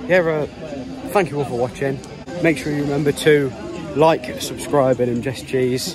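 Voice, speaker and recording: A man's voice in a dry, echo-free sound, clear music behind him, moderate pace and ordinary pitch variation. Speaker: football fan vlogger. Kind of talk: casual vlog chat. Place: stadium. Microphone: phone near.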